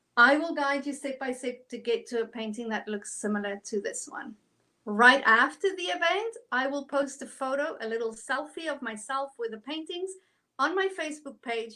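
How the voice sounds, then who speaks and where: In a South African accent, a woman with a high pitch and a bright, sharp tone speaks in a raised, projected voice at a moderate pace, animated and with lively intonation. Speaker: art instructor. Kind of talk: tutorial. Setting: online livestream.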